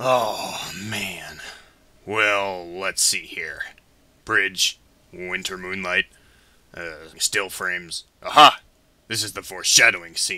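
Speaking very slowly with long, frequent pauses, a man has a fairly low pitch and fairly even intonation. His loudness swings a lot. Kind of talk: comic fandub parody. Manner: smug, jokey, theatrical.

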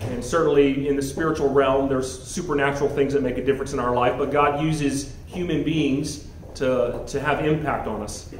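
With light background noise and audible room echo, a man speaks at a moderate pace with fairly even intonation. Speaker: guest. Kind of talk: speech to an audience. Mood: warm, reflective. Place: hall. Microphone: handheld.

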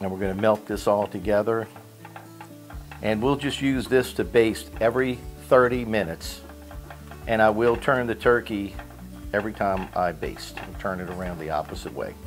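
With faint music in the background, a man talks at a fairly low pitch and a moderate pace, his loudness swinging widely between long, frequent pauses. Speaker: home cooking show host. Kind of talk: tutorial. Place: kitchen.

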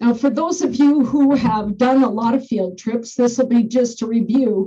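Against a quiet background, a woman speaks with a high pitch, a dark, mellow tone, fairly even intonation and a fairly slow pace. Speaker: school bus driver trainer. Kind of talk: lecture. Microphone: webcam.

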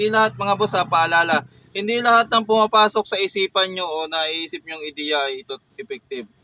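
A man with a high pitch uses a raised, projected voice. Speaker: DIY electronics YouTuber. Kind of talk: tutorial. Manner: slightly slurred speech; casual, hesitant.

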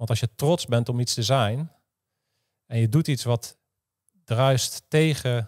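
With fairly even intonation and a fairly slow pace, a man talks against a quiet background. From Netherlands. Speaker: former special forces soldier and podcaster; podcaster. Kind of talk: interview conversation. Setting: studio. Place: office. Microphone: studio mic.

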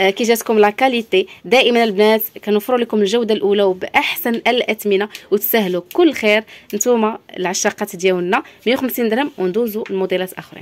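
The speaker sounds animated, keeping a moderate pace and ordinary pitch variation. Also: woman, fairly high pitch for a woman. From Morocco. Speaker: shop owner presenting products; shop seller showing products. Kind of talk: product showcase sales pitch. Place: shop. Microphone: phone near.

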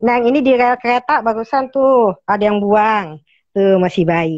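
Against a quiet background and with dry sound and no echo, a woman speaks at a fairly slow pace with lively intonation. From Jakarta. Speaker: cat rescuer. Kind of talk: call-in appeal. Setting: video call. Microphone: earbuds.

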